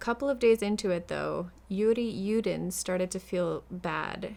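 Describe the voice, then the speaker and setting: A woman talks in a plain, everyday voice with ordinary pitch variation. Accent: American. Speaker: true crime storyteller and crocheter. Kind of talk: casual storytelling. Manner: casual, chatty.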